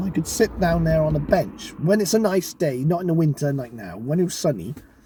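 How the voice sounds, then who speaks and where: Over noticeable background noise, a man with a fairly high pitch speaks at a very fast pace with lively intonation. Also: hardly any pauses. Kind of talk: casual talk to camera. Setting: in a car.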